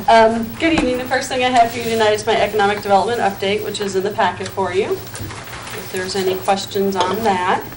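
Talking at a very fast pace with hardly any pauses, a woman with an American accent uses a medium pitch and ordinary pitch variation, amid noticeable background noise and audible room echo. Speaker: city economic development director. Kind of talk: public meeting report. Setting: city council meeting. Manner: quiet.

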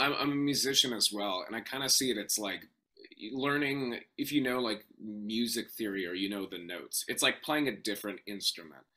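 With an American accent, a man speaks at a moderate pace with lively intonation. His tone is bright and sharp, and the background is quiet. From US Pacific Northwest (Portland, Oregon). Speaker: voice actor. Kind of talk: interview. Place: home room.

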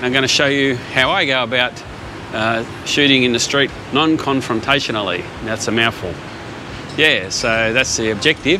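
Against noticeable background noise, a man speaks at a moderate pace with ordinary pitch variation and long, frequent pauses, the sound dry with no echo. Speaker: photography vlogger. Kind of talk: casual vlog chat. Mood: cheerful, relaxed. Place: street. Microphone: phone near.

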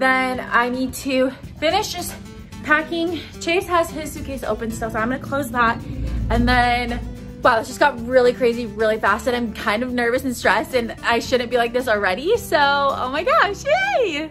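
A woman speaks at high pitch and a moderate pace. Clear music plays in the background. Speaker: vlogger. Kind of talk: casual vlog chat. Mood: rushed, stressed but excited. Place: home room. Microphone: phone near.

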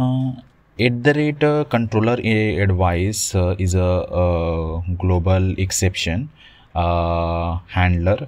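A man talks at a slow pace with few pauses, his pitch low and his intonation fairly even. His tone is slightly mellow.

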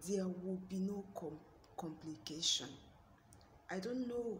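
A woman talks very slowly at medium pitch. Noticeable background noise is present. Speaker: prayer channel host. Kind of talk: fervent intercessory prayer. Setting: video address to online audience. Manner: impassioned, pleading; earnest, rhythmic, repetitive invocations.

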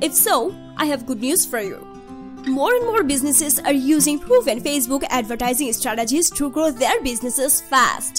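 Over clear music in the background, a woman speaks in a high pitch at a moderate pace. Her intonation is lively. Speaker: voice actor. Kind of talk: marketing explainer read. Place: studio. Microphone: studio mic.

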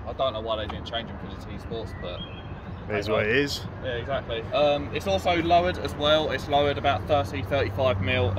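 Here a man talks at a fairly quick pace. Noticeable background noise runs under his voice. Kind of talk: casual car walkaround chat. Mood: cheerful, enthusiastic. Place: street. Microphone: phone near.

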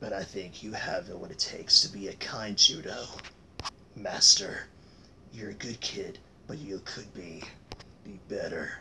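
A man performs a cartoonish character voice at a moderate pace. Long, frequent pauses break it up, with clear background noise behind. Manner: calm, steady, encouraging.

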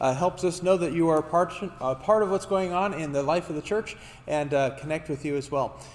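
A man talks very fast with fairly even intonation. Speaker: pastor. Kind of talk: church announcements. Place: church.

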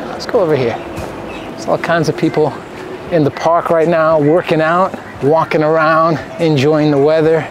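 Over music in the background, a man speaks at a fairly slow pace, his voice dry with no echo. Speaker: food vlogger. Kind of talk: casual vlog chat. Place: garden. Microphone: phone near.

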